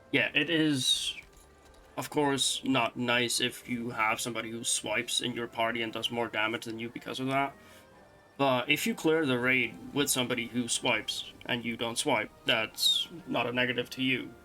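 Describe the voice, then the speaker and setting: A man's fairly slow speech with a non-native accent, fairly even intonation and long, frequent pauses. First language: not English (English is third language). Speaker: gamer and streamer. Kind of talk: casual monologue. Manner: conversational with fillers.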